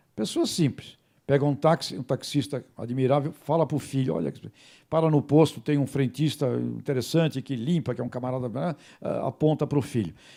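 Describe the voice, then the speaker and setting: Recorded very cleanly against a silent background, a man with a fairly high pitch and a dark, mellow tone speaks at a moderate pace with ordinary pitch variation and vocal fry. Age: 60s. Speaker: journalist and radio host. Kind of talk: talk to students and faculty.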